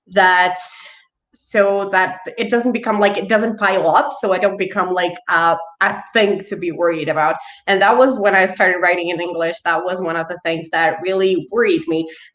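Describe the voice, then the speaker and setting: Speaking at a medium pitch with ordinary pitch variation, a woman talks with a non-native accent. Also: moderate pace. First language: not English. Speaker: author. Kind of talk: panel discussion.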